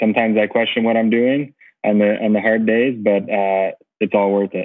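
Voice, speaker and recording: A man's monotone, flat voice at a medium pitch and moderate pace, with very even loudness and a quiet background. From United States. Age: 40s. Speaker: racing driver and team owner; podcast guest. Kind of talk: casual interview. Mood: friendly, relaxed. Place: home room. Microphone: earbuds.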